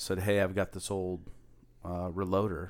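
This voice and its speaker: A man with an American accent speaks in a very deep, low pitch with monotone, flat intonation. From US Pacific Northwest. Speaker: podcast co-host. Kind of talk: casual chat.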